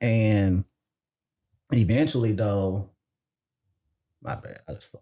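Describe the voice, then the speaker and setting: This speaker has a Mississippi accent and a dark, mellow tone. Pitch varies in an ordinary way, broken by long, frequent pauses. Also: man, fairly low pitch for a man. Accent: Mississippi Southern. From Mississippi, US South. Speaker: software engineer and credit consultant. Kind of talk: podcast interview.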